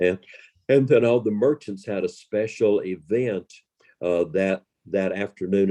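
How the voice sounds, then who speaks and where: A man with a Southern US accent has a dark, mellow tone and ordinary pitch variation, in a dry, close sound with no echo. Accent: Southern American. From Western North Carolina. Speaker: professional storyteller. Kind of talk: interview answer.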